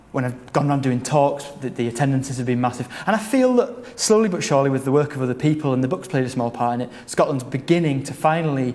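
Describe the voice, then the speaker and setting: Noticeable background noise sits behind a man who speaks at medium pitch with ordinary pitch variation. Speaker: archivist and author. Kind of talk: interview answer.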